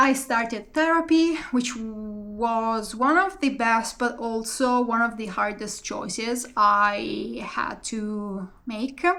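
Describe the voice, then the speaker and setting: With a non-native accent, a woman speaks at a very slow pace with hardly any pauses, her fairly high pitch carrying a bright, sharp tone. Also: ordinary pitch variation. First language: not English. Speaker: vlogger and PhD student. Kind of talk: casual vlog monologue. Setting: talking to camera. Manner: halting, many fillers.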